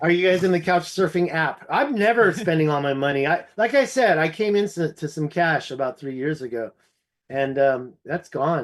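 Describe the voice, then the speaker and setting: A man with an American accent uses a normal speaking voice at a fairly high pitch. His pace is moderate, his intonation lively, and the background quiet. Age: 50s. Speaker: ancient history researcher. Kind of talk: casual chat.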